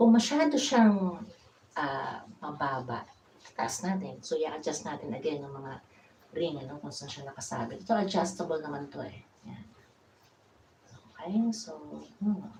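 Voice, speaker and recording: With audible room echo, a woman with a very deep, low, somewhat breathy voice speaks at a fairly slow pace, her intonation lively, her loudness swinging widely, and her pauses long and frequent. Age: 50s. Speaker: DIY vlogger. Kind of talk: tutorial. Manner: casual.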